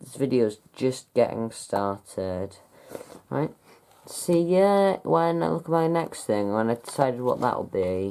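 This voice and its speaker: The pace is fairly slow. The speaker has a British accent. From UK. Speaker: YouTuber reviewing his DVD collection. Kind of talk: casual vlog talk. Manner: hesitant, many fillers.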